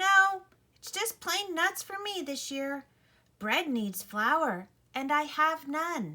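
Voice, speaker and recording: A woman puts on a squeaky character voice at an extremely high pitch, moving very slowly with very wide pitch swings and big swings in loudness. The recording is very clean, with a silent background. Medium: read story.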